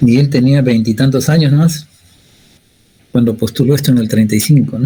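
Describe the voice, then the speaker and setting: A man speaks at a medium pitch with ordinary pitch variation and a somewhat breathy quality. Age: 60s. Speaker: university physics lecturer. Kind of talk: lecture. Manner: conversational, frequent tag questions.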